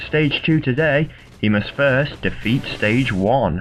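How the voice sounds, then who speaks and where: The pitch varies in an ordinary way at a moderate pace. Behind the voice, music is playing. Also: man. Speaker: video game tournament commentator. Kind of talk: sports-style game commentary.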